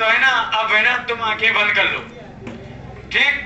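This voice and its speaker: Male speaker at a moderate pace, with audible room echo and music in the background. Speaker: show host. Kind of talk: comic show hosting to audience. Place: street.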